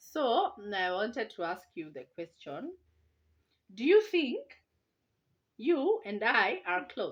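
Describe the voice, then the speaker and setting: At a very slow pace with long, frequent pauses, a woman with vocal fry speaks in a fairly high pitch, making very wide pitch swings and big swings in loudness against a quiet background. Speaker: parenting vlogger. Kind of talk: casual chat. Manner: animated.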